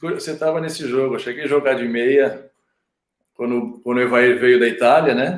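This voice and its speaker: In a normal speaking voice of medium pitch, a man talks at a moderate pace with fairly even intonation. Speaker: retired footballer turned agent. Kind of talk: casual chat.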